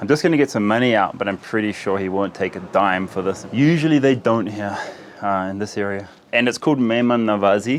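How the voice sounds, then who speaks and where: With a New Zealand accent, a man talks at a fairly quick pace and a fairly low pitch. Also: ordinary pitch variation. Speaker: travel vlogger. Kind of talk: travel vlog narration.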